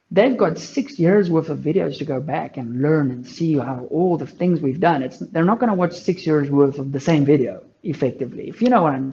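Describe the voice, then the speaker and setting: Speaking at a fairly quick pace, a man with a South African accent has a fairly high pitch and a dark, mellow tone. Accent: Afrikaans South African English. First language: Afrikaans. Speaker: long range shooting content creator. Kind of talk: casual chat.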